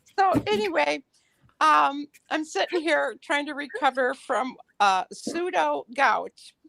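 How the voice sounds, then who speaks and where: Very slowly, a woman speaks in a high pitch with a bright, sharp tone and very wide pitch swings. The sound is dry and close, with no echo. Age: 70s. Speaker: caller. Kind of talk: casual chat.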